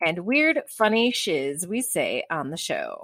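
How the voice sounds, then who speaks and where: With a Chicago accent, a woman speaks at a fairly high pitch, captured in a very clean recording with a silent background and a dry, close sound with no echo. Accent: Chicago American. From Chicago, US. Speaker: romance novelist podcast host. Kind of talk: casual chat.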